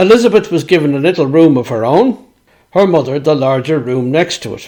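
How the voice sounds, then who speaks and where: In a Dublin accent, a man with a fairly high voice talks at a moderate pace with lively intonation. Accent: Dublin Irish. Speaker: author and storyteller. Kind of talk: reading aloud.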